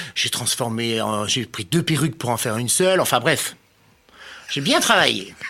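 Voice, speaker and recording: A man talks in a medium pitch. His tone is bright and sharp. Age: 50s. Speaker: former cabaret performer, shop owner. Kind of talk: casual interview. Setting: studio.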